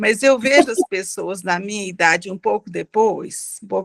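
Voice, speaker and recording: Pitch rises and falls in an ordinary way. The sound is close and dry, without any echo. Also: woman. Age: 60s. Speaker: audience participant. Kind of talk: question from audience in online debate. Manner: halting.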